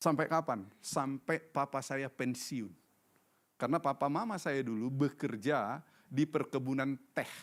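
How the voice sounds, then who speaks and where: It's an unremarkable speaking voice: a man with a fairly high pitch and ordinary pitch variation, talking at a fairly slow pace. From North Sumatra, Indonesia. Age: 60s. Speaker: pastor. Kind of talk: sermon.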